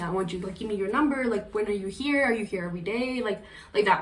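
A woman of medium pitch talks with a slight Colombian accent, with audible room echo and noticeable background noise. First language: Spanish. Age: 20s. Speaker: podcast guest. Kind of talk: interview. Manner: fast.

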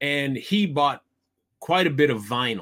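In a Midwestern US accent, a man with a fairly high pitch speaks at a fairly slow pace on a very clean recording with a silent background. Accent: US Midwest. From Iowa. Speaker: podcast co-host. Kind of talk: casual chat.

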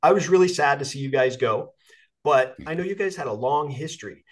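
A man's voice, an ordinary speaking voice, at a fairly quick pace with lively intonation. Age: 50s. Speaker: podcast host, coach and Marine veteran. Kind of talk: casual interview chat. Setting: video call.

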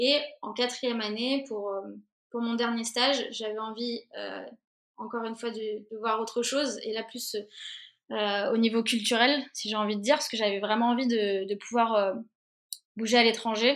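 At a moderate pace, a woman with a fairly high pitch speaks in a flat monotone, leaving long, frequent pauses. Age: 20s. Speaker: interactive producer. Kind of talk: interview. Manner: halting, many repetitions and fillers.

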